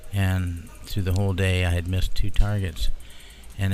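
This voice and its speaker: Music plays in the background and the room echo is audible. A man with a very deep, low pitch talks at a moderate pace with fairly even intonation. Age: 60s. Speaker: UFO witness guest. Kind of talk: casual chat. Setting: live broadcast at a convention.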